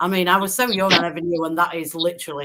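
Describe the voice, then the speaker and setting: Here is a woman talking. She speaks with a Yorkshire accent. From Yorkshire, England. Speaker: football podcast panelist. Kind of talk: casual chat.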